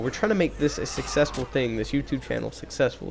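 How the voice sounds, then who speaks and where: A man speaks at a fairly high pitch, with ordinary pitch variation, while music plays in the background. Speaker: gaming YouTuber. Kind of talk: casual gaming commentary. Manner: halting, many fillers.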